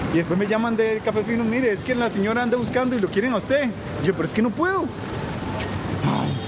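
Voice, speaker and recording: A high-pitched man at a fairly quick pace, with ordinary pitch variation, very even loudness, audible room echo and noticeable background noise. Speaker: coffee shop owner and barista. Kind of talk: casual interview while walking the city. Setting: walking outdoors and in a cafe.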